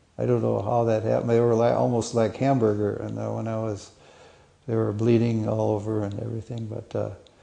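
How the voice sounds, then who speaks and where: Talking at a fairly quick pace, a man is heard with audible room echo. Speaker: war veteran. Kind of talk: interview testimony. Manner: halting, stuttering.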